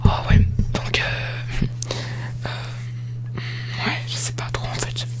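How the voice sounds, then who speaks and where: A soft-spoken whisper comes through with music playing in the background. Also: man. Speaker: ASMR YouTuber. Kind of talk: casual talk to camera. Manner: whispered, soft-spoken.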